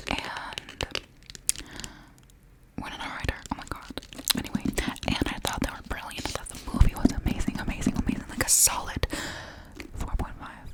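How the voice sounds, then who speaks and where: A woman whispers at a fairly quick pace with long, frequent pauses and big swings in loudness, amid noticeable background noise. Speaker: ASMR creator. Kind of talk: ASMR rambling and reading. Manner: whispered; repetitive, soft-spoken.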